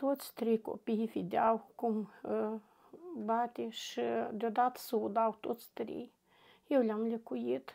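Speaking very slowly, a woman has a dark, mellow tone. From northern Moldova, Drochia district. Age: 40s. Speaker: interviewee, domestic violence survivor. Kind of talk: personal testimony interview. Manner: halting.

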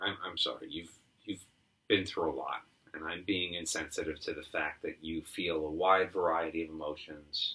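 A man's volume jumps up and down widely as he keeps a moderate pace. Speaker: improv comedian. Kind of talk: improvised comedy scene. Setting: apartment. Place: home room. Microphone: camera far.

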